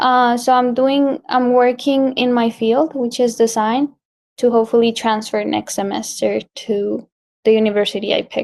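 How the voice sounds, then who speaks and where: At a moderate pace, a woman speaks in a high voice with monotone, flat intonation. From Colombia. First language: Spanish. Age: 20s. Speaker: graphic designer. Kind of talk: interview.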